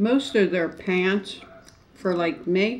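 Light background noise sits under a woman who talks at a very slow pace. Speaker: eating show vlogger. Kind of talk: casual vlog chat. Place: home room. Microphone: camera far.

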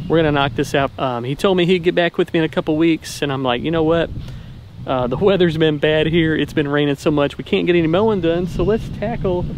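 Over noticeable background noise, a man speaks at a fairly quick pace in a dry sound with no echo. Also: ordinary pitch variation. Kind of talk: casual vlog chat. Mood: upbeat, friendly. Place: open country. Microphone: phone near.

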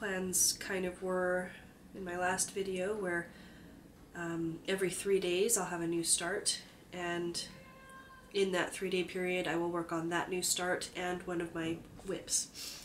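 Over noticeable background noise, a woman at a medium pitch speaks fairly slowly in a monotone, flat intonation, leaving long, frequent pauses. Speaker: cross-stitch crafter. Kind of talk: casual talk to camera.

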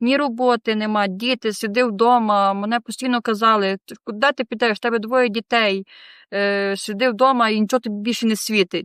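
Recorded with a dry, close sound with no echo and a quiet background, a woman speaks at a fairly high pitch, a moderate pace, and fairly even intonation. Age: 20s. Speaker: rehab center resident. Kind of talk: testimony. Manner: halting.

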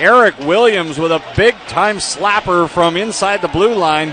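Noticeable background noise sits behind a man's high-pitched voice. His pitch varies in an ordinary way, and the sound is dry with no echo. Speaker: hockey play-by-play announcer. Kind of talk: live sports commentary, play-by-play of a hockey game. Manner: builds excitement on fights and goals. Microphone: headset.

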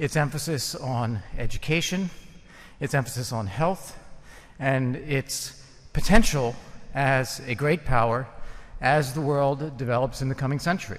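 A man with an American accent talking at a fairly slow pace, with ordinary pitch variation and long, frequent pauses. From United States. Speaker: former diplomat, debater. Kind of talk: formal debate. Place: hall. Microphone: podium.

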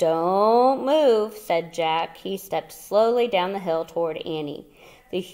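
The speaker delivers plain reading aloud with lively intonation.

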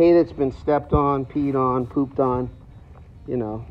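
A man at a moderate pace, with ordinary pitch variation and faint music in the background. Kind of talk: tutorial. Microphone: phone near.

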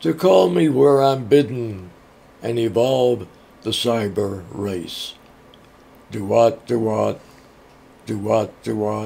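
A man talks at a very slow pace and a medium pitch, with ordinary pitch variation and long, frequent pauses. Noticeable background noise runs underneath. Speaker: poet. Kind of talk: poetry reading.

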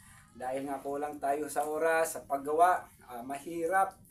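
The speech moves at a moderate pace with ordinary pitch variation, while music plays behind it. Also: man. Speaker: YouTube vlogger and craftsman. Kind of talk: casual vlog talk to viewers. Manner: hesitant, many fillers.

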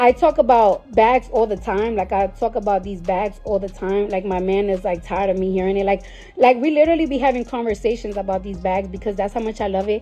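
Backed by faint music, a woman talks at a very fast pace with hardly any pauses and ordinary pitch variation. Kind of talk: casual live stream chat. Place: home room. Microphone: phone near.

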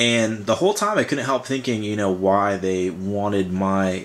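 A man at a fairly low pitch and a moderate pace. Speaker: vlogger. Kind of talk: casual vlog chat. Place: home room.

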